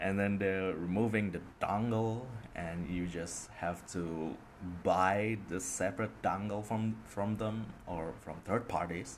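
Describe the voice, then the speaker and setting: A man with a very deep, low pitch talks at a very slow pace with ordinary pitch variation. Room echo is audible. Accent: Indonesian. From Indonesia. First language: Indonesian. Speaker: podcaster. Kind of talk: casual monologue. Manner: hesitant, many fillers.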